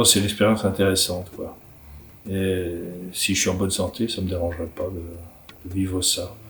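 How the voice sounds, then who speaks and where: A man speaks with a very deep, low pitch and a somewhat breathy voice. The recording carries audible room echo. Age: 60s. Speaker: writer and illustrator. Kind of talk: interview answers. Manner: halting, many repetitions.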